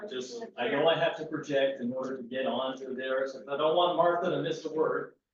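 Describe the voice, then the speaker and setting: With hardly any pauses, a man talks at a fairly high pitch with ordinary pitch variation. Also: fairly quick pace. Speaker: town employee speaking at public comment. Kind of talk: public meeting discussion. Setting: town meeting room with Zoom participants. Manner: loud, projecting. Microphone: far from the meeting mic, which picks up poorly.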